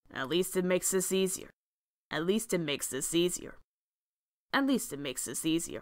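Using a put-on character voice at medium pitch, a woman talks at a fairly quick pace broken by long, frequent pauses. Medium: audio drama. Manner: menacing, taunting.

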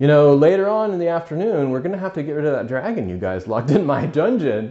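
A man's voice with lively intonation. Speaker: video commentator. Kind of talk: casual storytelling recap. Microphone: earbuds.

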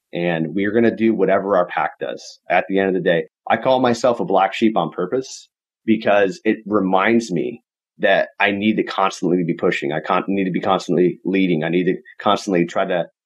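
At a moderate pace, a man speaks in a normal speaking voice with fairly low pitch and ordinary pitch variation. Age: 30s. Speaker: real estate investor and coach. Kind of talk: casual interview. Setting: video call.

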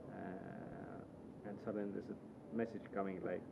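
A man speaks in a fairly even intonation, with noticeable background noise in the mix. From Estonia. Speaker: rally driver. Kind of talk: casual chat.

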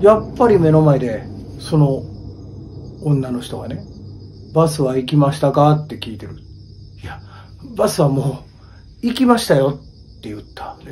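A man speaks with a dark, mellow tone and a somewhat breathy quality. His intonation is lively, broken by long, frequent pauses. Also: moderate pace. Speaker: ghost story teller. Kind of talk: ghost story telling on location. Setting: outdoors at a highway bus stop at night. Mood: hushed, suspenseful. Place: street. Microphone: phone near.

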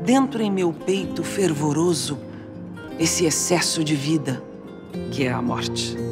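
Over clear music in the background, a woman speaks at a fairly slow pace with long, frequent pauses. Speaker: actress. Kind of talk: poetry reading. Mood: tender, melancholic, emotional. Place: studio.

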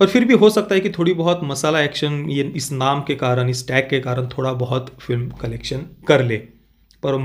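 With a normal speaking voice, a man talks at a moderate pace in a fairly high pitch on a very clean recording with a silent background. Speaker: film reviewer YouTuber. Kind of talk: video review monologue.

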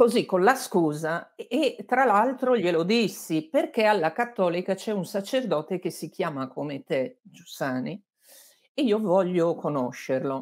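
A woman speaks at a medium pitch and a fairly slow pace, with very wide pitch swings. The background is quiet. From Lombardy, Abbiategrasso near Milan; Lombardy. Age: 60s. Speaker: journalist and author; interviewed journalist. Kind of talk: interview. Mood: warm, reflective. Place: home room.

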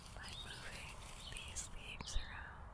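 The speaker whispers at a fairly slow pace. The voice is soft-spoken. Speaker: ASMR creator. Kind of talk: soft ASMR chat. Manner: soft ASMR whisper, close mic. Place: forest. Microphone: studio mic.

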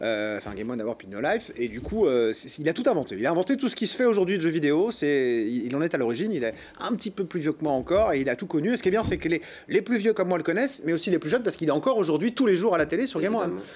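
A man with a high voice talks at a very fast pace, his pitch swinging very widely. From France, Le Mans (Sarthe). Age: 40s. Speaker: TV presenter and festival organizer. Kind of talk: interview. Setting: studio. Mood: relaxed, cheerful. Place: studio.

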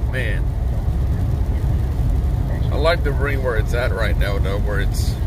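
A man talks fairly slowly amid loud background noise, the sound dry with no echo. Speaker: passenger vlogger. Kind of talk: casual vlog chat. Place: car. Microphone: phone near.

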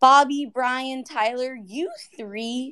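A woman speaks at a very slow pace. Her voice is high in pitch, with a bright, sharp tone. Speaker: Q&A host. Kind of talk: interview.

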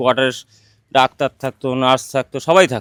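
A man with a fairly high-pitched voice is heard in a dry, close sound that has no echo. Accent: West Bengal. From West Bengal, North 24 Parganas (Duttapukur). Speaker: local resident. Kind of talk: on-location interview.

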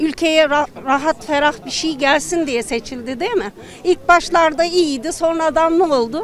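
Fairly slow speech, dry sound with no echo, light background noise underneath. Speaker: interviewee. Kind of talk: interview answer. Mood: frustrated, complaining. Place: street. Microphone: handheld.

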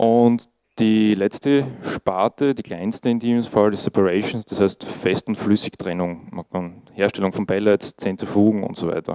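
A man with an Austrian accent speaks fairly slowly at a fairly low pitch, with fairly even intonation. His tone is dark and mellow, and the background is quiet. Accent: Austrian German, noticeable dialect. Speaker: IT monitoring specialist, conference speaker. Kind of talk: conference talk. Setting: conference stage with audience. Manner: casual, informal. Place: meeting room.

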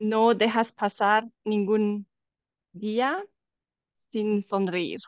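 A woman talks at a very slow pace with fairly even intonation, her dry sound carrying no echo over a quiet background. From Romania. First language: Romanian (speaking Spanish). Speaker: life coach. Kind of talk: casual chat. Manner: halting. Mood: warm, smiling. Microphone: video call.

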